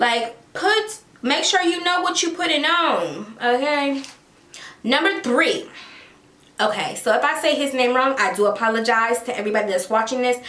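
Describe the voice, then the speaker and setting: Animated and fairly slow, a woman's voice swings very widely in pitch. Audible room echo and noticeable background noise surround her. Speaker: celebrity gossip YouTuber. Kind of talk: casual commentary vlog.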